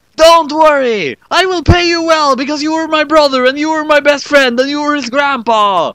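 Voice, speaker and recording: Putting on a character voice, a man speaks at an extremely high pitch and moderate pace, with hardly any pauses. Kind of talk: comedic fanfic reading. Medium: read story.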